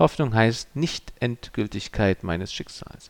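A man speaks in a solemn tone at a fairly slow pace, his pitch medium with very wide swings. Vocal fry runs through his voice. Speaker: pastor. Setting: church. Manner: formal, measured and earnest, with a solemn pastoral tone.

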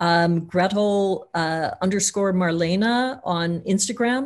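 A woman with an American accent and medium pitch talks with hardly any pauses in a plain, everyday voice. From US Midwest, Missouri. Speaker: filmmaker. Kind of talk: interview.

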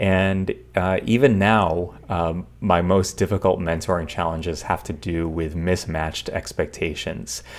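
A man with an American accent and a very deep, low pitch talks at a fairly slow pace with hardly any pauses, ordinary pitch variation and vocal fry. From western New York State. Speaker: engineering professor. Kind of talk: lecture. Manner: halting, many fillers.

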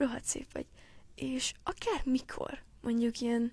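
This woman's voice sits high. She sounds animated. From Hungary (Gyöngyös, earlier Nyíregyháza). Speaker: podcaster. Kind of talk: casual monologue addressed to a friend. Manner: halting.

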